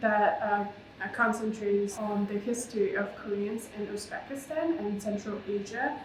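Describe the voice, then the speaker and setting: Against noticeable background noise and audible room echo, a woman with a Russian accent speaks at a moderate pace, with a fairly high pitch and fairly even intonation. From Russia, Moscow. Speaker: artist. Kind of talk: interview. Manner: halting, many fillers.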